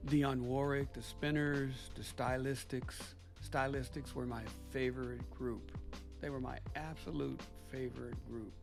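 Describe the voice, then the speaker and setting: Music can be heard behind the speaker. He is a man talking fairly slowly. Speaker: grandfather. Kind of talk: interview answer. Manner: casual, nostalgic.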